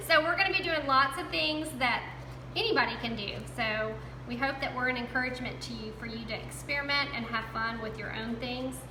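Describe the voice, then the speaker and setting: Over noticeable background noise and audible room echo, a woman talks at a fairly quick pace with a Southern US accent. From US South. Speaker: crafting youtuber. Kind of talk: tutorial. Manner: casual, chatty.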